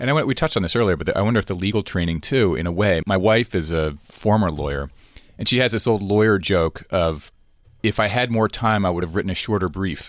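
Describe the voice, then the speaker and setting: Captured on a very clean recording with a silent background, a man talks at a very fast pace. His fairly low voice has ordinary pitch variation. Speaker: podcast host. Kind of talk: interview conversation.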